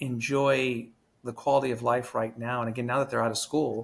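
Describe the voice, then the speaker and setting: Speaking at a fairly quick pace, a man at medium pitch has a normal speaking voice. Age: 40s. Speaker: former morning news anchor, show host. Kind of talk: interview. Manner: casual, conversational.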